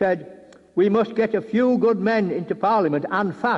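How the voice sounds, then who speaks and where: There is noticeable background noise. A man speaks over it. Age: 80s+. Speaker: war veteran and campaigner. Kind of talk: political speech.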